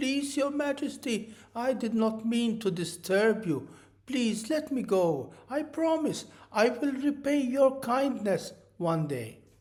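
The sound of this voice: A squeaky, put-on character voice at a fairly high pitch and fairly slow pace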